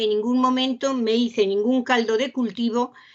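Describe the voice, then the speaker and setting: The speaker is a woman. Her voice is pitched fairly high. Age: 70s. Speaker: seminar participant. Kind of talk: group discussion. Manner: halting, many fillers.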